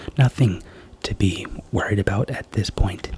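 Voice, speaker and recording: A man whispers in a gentle, calm tone. Noticeable background noise is present. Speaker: ASMR creator doing a doctor roleplay. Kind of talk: ASMR roleplay, soft-spoken. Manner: soft-spoken, gentle, calm.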